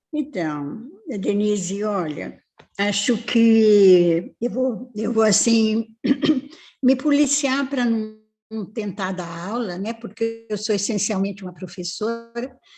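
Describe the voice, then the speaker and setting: Music plays behind a woman speaking very slowly at a fairly high pitch with ordinary pitch variation. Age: 80s+. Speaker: family therapist and professor. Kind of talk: live-stream interview.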